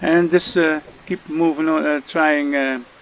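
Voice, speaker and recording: A man speaks over noticeable background noise. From Netherlands. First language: Dutch. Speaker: gaming youtuber. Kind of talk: game tutorial. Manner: halting, many fillers.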